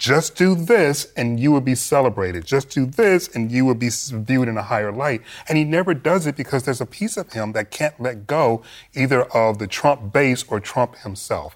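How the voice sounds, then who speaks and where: On a very clean recording with a silent background, a man speaks in a normal speaking voice at medium pitch and a moderate pace, with lively intonation. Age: 40s. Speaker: political commentator. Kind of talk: panel discussion.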